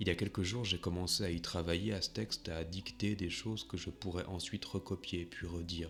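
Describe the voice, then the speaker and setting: Over music in the background, a man with a very deep, low pitch talks at a fairly quick pace with fairly even intonation. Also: hardly any pauses. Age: 30s. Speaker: writer. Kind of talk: reading aloud of own text, personal monologue.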